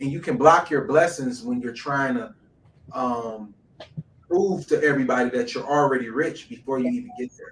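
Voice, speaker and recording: Someone with an American accent speaks at a moderate pace with lively intonation and big swings in loudness, over noticeable background noise. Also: man, fairly high pitch for a man. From Detroit, US. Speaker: entrepreneur. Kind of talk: interview conversation.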